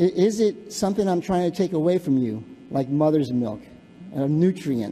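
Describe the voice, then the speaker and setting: Lively intonation marks this man's fairly high-pitched voice, delivered with a northern US accent. His tone is dark and mellow. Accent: northern US (Yankee). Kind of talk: public comment speech. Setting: city council chamber. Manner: halting, many fillers and repetitions.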